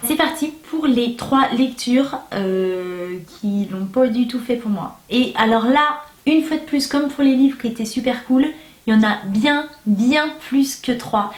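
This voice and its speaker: A high-pitched woman's voice at a very slow pace, with ordinary pitch variation and noticeable background noise. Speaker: booktuber. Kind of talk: casual vlog review. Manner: animated.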